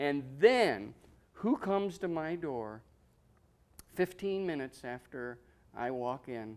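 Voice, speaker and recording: This man talks at a very slow pace in an Ohio accent, with long, frequent pauses. His fairly high pitch swings very widely, and his loudness shifts greatly. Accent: Midwestern American (Ohio). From Ohio, Medina. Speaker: war veteran. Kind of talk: interview. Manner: halting.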